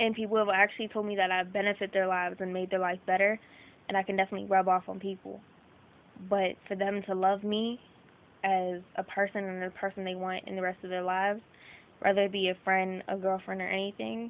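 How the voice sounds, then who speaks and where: With monotone, flat intonation, a woman speaks at a fairly quick pace. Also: medium pitch for a woman. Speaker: vlogger. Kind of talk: personal video diary. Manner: fast; loud.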